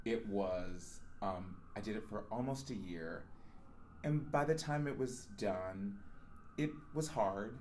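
In a room with audible echo, a man with a fairly low pitch talks at a very slow pace, using lively intonation and long, frequent pauses. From Las Vegas, Nevada. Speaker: Broadway ensemble performer. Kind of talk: casual interview.

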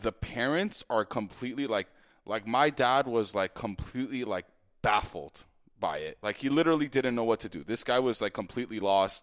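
A man with a plain, everyday voice, medium pitch and ordinary pitch variation at a moderate pace, on a very clean recording with a silent background and a dry, close sound with no echo. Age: 20s. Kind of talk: testimony. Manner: casual, lots of filler like.

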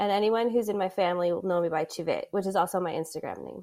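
Someone speaks with an American accent on a very clean recording against a silent background. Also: woman. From US Midwest, Adrian, Michigan. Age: 30s. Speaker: sports communications professional. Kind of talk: casual interview.

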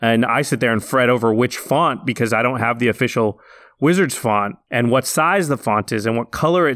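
A man with a Pacific Northwest accent at a fairly quick pace, very even in loudness, in a dry, close sound with no echo. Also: very clean recording, silent background. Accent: US West Coast (Pacific Northwest) English. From Oregon, small town outside Portland. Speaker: film visual effects artist and podcast co-host. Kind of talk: casual interview.

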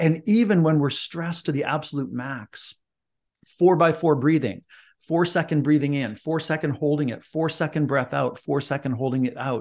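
A man talks at a moderate pace in a fairly high voice with ordinary pitch variation. His tone is energetic and enthusiastic over a quiet background. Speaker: leadership speaker and author. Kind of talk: interview. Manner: energetic, enthusiastic.

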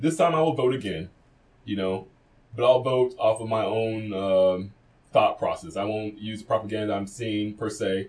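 With an American accent, a man speaks at a moderate pace in an unremarkable speaking voice, fairly low in pitch and with ordinary pitch variation. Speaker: podcast co-host and DJ. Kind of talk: casual chat. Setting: studio.

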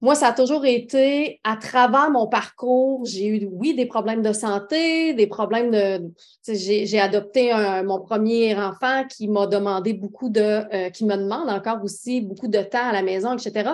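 Over a quiet background, a woman with a normal speaking voice talks fairly slowly at a fairly high pitch, with ordinary pitch variation. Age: 30s. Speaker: entrepreneur, makeup company founder. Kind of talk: interview.

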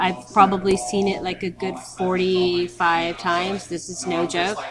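Noticeable noise fills the background. Through it, a woman talks. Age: 40s. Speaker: film festival programming director. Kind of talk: interview. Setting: film festival venue.

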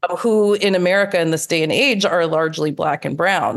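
A woman with a plain, everyday voice, fairly low in pitch, at a moderate pace with ordinary pitch variation. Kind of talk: interview conversation.

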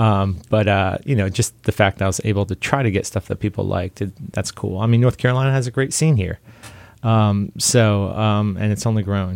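A man with a normal speaking voice at a fairly low pitch and a fairly quick pace, with ordinary pitch variation, in a very clean recording with a silent background and a dry, close sound with no echo. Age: 40s. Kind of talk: interview. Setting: studio.

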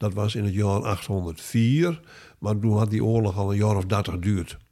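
Somewhat breathy and dark, mellow in tone, the voice moves at a fairly slow pace with ordinary pitch variation on a very clean recording with a silent background. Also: man. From Stellingwerf, Friesland, Netherlands. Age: 70s. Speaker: author and retired linguistics lecturer. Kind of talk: interview conversation. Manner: halting, many hesitations.

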